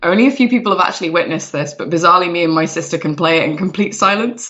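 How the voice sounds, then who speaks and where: Over noticeable background noise, a woman talks at a very fast pace with hardly any pauses, her fairly low pitch showing ordinary variation. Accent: English Midlands. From England, Nottingham. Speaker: video game product manager. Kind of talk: casual interview chat.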